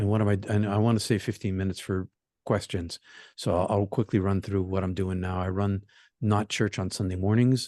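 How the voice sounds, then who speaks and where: A man's fairly low, dark, mellow voice in an American accent, with monotone, flat intonation and a dry, close sound with no echo against a quiet background. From Boston area, US. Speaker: minister and meditation teacher, near-death experiencer. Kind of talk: talk to support group. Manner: fast.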